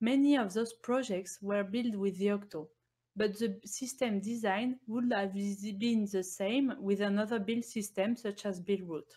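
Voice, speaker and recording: The voice has a dark, mellow tone, somewhat breathy, with fairly even intonation, very even loudness and a fairly slow pace. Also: woman, medium pitch for a woman. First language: not English. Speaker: embedded Linux engineer presenting at a conference. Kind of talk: technical conference talk. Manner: formal.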